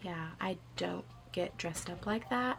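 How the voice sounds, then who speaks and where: With noticeable background noise behind her, a woman talks at a moderate pace using lively intonation. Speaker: book vlogger. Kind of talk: casual vlog chat. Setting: at home in reading chair.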